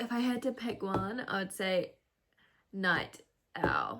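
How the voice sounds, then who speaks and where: Ordinary rises and falls in pitch at a fairly slow pace. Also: woman. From New Zealand. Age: 20s. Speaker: YouTuber. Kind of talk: casual chat. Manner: casual, chatty.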